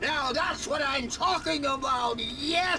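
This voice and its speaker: A man uses a put-on character voice, raised and projected. He speaks at a fairly slow pace over loud background noise. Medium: video game. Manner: hearty, exclamatory.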